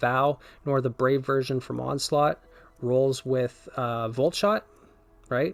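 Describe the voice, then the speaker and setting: A man is speaking. His pace is fairly slow. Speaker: gaming video creator. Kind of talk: gameplay build commentary. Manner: hesitant fillers, self-correcting.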